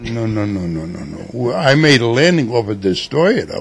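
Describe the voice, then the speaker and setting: Noticeable background noise runs under a man speaking at a fairly slow pace. His pitch is medium and his intonation lively. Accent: New York. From New York City (Manhattan). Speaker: war veteran. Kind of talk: interview.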